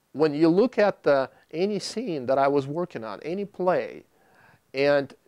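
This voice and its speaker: With a Russian accent, a man swings his pitch very widely. The sound is dry and close with no echo, and the recording is very clean with a silent background. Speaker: video producer. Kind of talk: testimony. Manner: halting.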